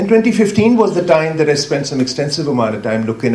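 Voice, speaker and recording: A man's pitch swings very widely as he talks fairly quickly, with audible room echo and noticeable background noise around him. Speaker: academic, water expert. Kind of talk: conference talk. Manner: loud.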